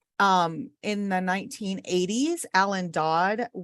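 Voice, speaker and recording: A woman speaks in an ordinary speaking voice at a fairly low pitch with ordinary pitch variation. The sound is dry and close, with no echo. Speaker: orientation and mobility instructor. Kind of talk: lecture.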